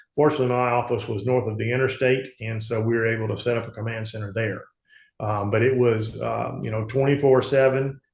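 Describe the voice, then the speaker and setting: In a Southern US accent, a man talks at a fairly quick pace, somewhat breathy and flat in a monotone. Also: medium pitch for a man, quiet background. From US South, Mississippi Gulf Coast. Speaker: politician and insurance agent. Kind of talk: interview. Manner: halting, many fillers.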